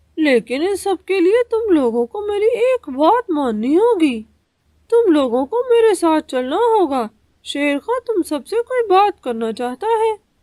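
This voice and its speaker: A cartoonish character voice with an extremely high pitch and very wide pitch swings. It moves at a fairly slow pace. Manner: sly, ingratiating.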